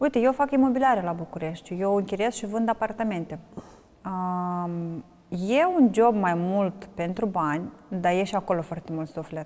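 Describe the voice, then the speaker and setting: In a Moldovan accent, the speaker moves at a moderate pace with ordinary pitch variation. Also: woman, medium pitch for a woman. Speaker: wine ambassador and blogger. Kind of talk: interview.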